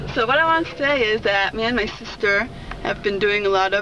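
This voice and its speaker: Over noticeable background noise, a woman speaks at a moderate pace with lively intonation. The sound is dry with no echo. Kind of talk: casual vlog chat. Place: car.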